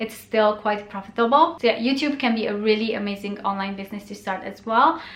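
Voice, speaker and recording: Speaking at a fairly quick pace, a woman with a Romanian accent keeps her fairly high voice fairly even. Noticeable background noise is present. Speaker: blogger and YouTuber. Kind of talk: casual vlog tutorial. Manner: casual with frequent 'um' fillers.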